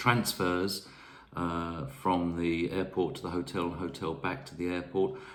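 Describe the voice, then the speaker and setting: With a southern English accent, a man speaks at a very slow pace in a very deep, low voice with lively intonation and audible room echo. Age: 60s. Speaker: travel vlogger. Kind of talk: casual talk to camera. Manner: hesitant, many fillers.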